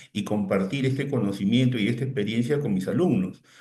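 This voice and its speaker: A man with a dark, mellow, somewhat breathy voice speaks at medium pitch with ordinary pitch variation, and room echo is audible. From Peru. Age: 60s. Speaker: technology consultant and lecturer. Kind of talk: webinar talk. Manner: halting, repeats words.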